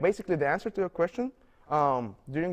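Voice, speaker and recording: A man with a non-native accent talks at a fairly quick pace in a high voice, his intonation lively against a quiet background. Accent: non-native, foreign. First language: not English. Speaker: international university student. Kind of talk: interview. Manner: halting, many fillers and repetitions.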